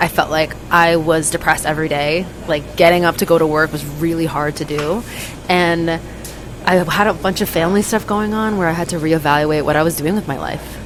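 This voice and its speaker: Someone with a New York accent talks at a fairly quick pace over noticeable background noise. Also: woman. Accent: New York American. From US, New York City. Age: 20s. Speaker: traveler and former corporate consultant. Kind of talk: casual chat. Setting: convenience store.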